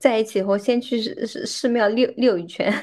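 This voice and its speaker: Against a quiet background, a woman with a fairly high pitch speaks at a moderate pace in a plain, everyday voice. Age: 30s. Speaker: podcast host. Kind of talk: casual chat.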